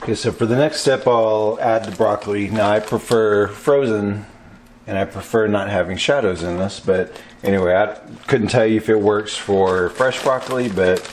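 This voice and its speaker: There's an ordinary speaking voice here, a man's, fairly low in pitch at a moderate pace. Light background noise can be heard. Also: fairly even intonation. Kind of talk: tutorial. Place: kitchen. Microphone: camera far.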